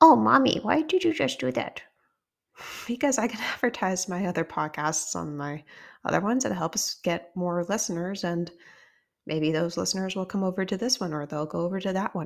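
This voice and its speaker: A woman with vocal fry speaks at medium pitch and a moderate pace, with very wide pitch swings. The recording is very clean with a silent background. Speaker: podcast host. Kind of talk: casual solo podcast storytelling.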